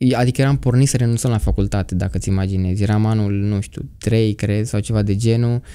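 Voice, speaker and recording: On a very clean recording with a silent background, a man speaks at a very fast pace with hardly any pauses, using a dark, mellow tone, fairly low pitch and fairly even intonation. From Romania, Argeș county (Rucăr). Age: 20s. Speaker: architecture student. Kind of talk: testimony.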